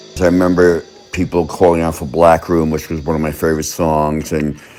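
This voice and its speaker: At a moderate pace, a man with a very deep, low pitch talks over noticeable background noise. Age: 60s. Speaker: concert attendee recalling a gig. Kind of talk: interview reminiscence. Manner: hesitant, with fillers.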